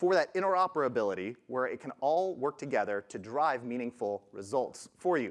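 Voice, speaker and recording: Very wide pitch swings run through what a man is saying. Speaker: conference speaker, product management head. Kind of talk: conference presentation. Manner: fast.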